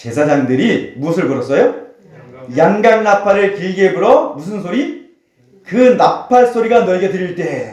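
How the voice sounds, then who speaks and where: The man's voice is high in pitch and swings very widely up and down. He talks at a fairly slow pace. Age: 50s. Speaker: pastor. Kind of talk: sermon.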